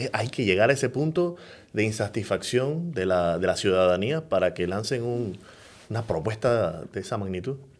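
The man speaks at a fairly slow pace. His intonation is lively. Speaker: podcast co-host. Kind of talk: casual interview. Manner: halting.

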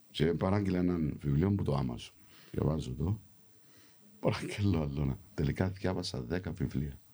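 At a moderate pace, a man speaks in a very deep, low pitch with vocal fry and a dark, mellow tone, showing ordinary pitch variation and very even loudness. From London, England, of Cypriot family. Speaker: actor. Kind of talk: casual chat. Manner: animated.

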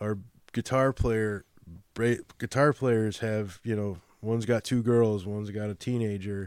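A man with a Chicago accent, fairly low pitch and fairly even intonation, in a dry, close sound with no echo and a very clean recording with a silent background. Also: fairly slow pace. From Chicago, US Midwest. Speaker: guest, musician and father. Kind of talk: casual interview chat.

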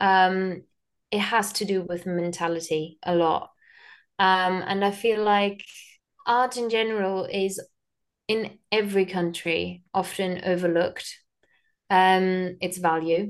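Speaking very slowly with long, frequent pauses, a woman with a medium-pitched voice and a German accent talks in a flat monotone over a quiet background. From Germany. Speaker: theatre and film producer. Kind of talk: interview. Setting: call.

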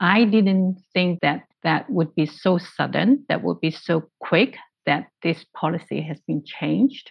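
A woman speaks at a fairly slow pace with fairly low pitch and vocal fry. Her intonation is lively, and she hardly pauses. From Hong Kong. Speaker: translation studies academic. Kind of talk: interview discussion.

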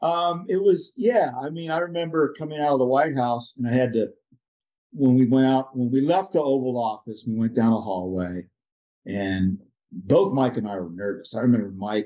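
The tone is dark and mellow, with very wide pitch swings. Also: man, medium pitch for a man, moderate pace. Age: 60s. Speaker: paraplegic climber and adaptive sports instructor. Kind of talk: interview storytelling.

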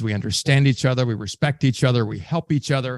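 Here a man talks with a Southern US accent at a medium pitch. His intonation is lively, and the sound is dry and close with no echo. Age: 50s. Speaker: sales trainer. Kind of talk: interview conversation.

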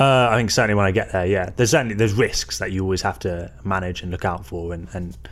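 Very fast speech marked by vocal fry. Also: man. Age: 20s. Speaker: student and polar expedition adventurer. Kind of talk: interview. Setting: student house.

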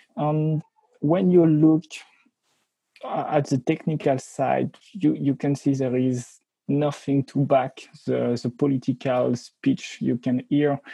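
In a French accent, a man speaks very slowly with a dark, mellow tone and a somewhat breathy voice. The sound is dry and close with no echo, and his intonation stays fairly even. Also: fairly high pitch for a man. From France. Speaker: security researcher. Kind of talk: interview.

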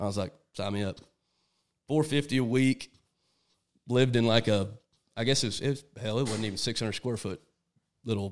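A man with a Texan accent, medium in pitch, fairly quick, with ordinary pitch variation. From Texas. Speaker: hunting guide. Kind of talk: casual chat. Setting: at a house over dinner.

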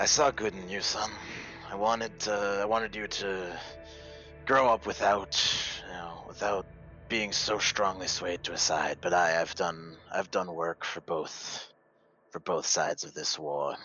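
Using a put-on character voice, a man speaks at a fairly slow pace and a fairly low pitch, with ordinary pitch variation and long, frequent pauses. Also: big swings in loudness. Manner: wry, world-weary, condescending.

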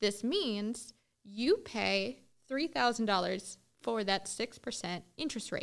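Delivered at a very slow pace, this voice has vocal fry and ordinary pitch variation. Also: woman, fairly high pitch for a woman. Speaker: loan officer and podcast host. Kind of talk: educational podcast monologue. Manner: enthusiastic; casual, conversational.

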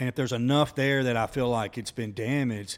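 In an Alabama accent, a man speaks at a fairly quick pace and medium pitch with fairly even intonation, recorded very cleanly with a silent background. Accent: Southern US (Alabama). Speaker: entrepreneur. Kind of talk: casual chat.

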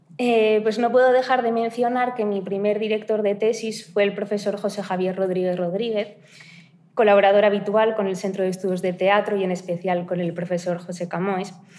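A woman at a moderate pace, medium in pitch, with fairly even intonation and an ordinary speaking voice. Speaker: doctoral researcher. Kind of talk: academic presentation. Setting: university seminar room.

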